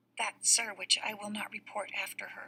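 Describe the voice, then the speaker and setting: A woman puts on a raspy character voice and speaks at a moderate pace. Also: medium pitch for a woman. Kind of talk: classroom Shakespeare reading. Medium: read story. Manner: cautious, hushed.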